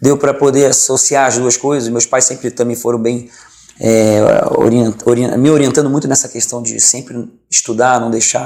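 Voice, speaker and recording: There is noticeable background noise as a man speaks with a Rio de Janeiro accent. His medium-pitched voice is monotone and flat. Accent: carioca (Rio de Janeiro). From Rio de Janeiro, Brazil. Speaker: pastor, former professional footballer. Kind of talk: interview. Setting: studio.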